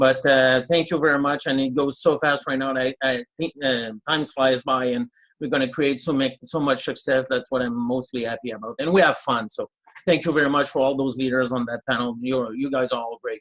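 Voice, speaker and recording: A man talks at a fairly quick pace in a medium pitch. His intonation is fairly even, and the sound is dry and close with no echo. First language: French. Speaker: network marketing leader. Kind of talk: webinar testimony.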